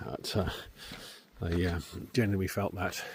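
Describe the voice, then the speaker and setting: A man with a southwest English accent speaks at a moderate pace. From southwest England, Devon. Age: 60s. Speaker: vlogger. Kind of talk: casual vlog monologue. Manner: halting, many fillers.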